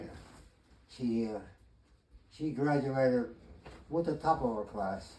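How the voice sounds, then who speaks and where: With noticeable background noise, a man of medium pitch speaks at a fairly slow pace, using ordinary pitch variation and long, frequent pauses. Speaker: retired chemistry teacher. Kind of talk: interview answer.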